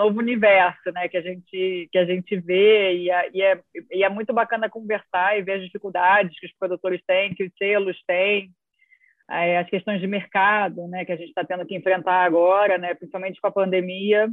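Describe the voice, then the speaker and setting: With a Rio de Janeiro accent, a woman speaks at medium pitch. Her intonation stays monotone and flat at a moderate pace. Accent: carioca (Rio de Janeiro). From Rio de Janeiro, Brazil. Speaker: music industry association executive. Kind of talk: interview conversation. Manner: halting, many repeated words and fillers.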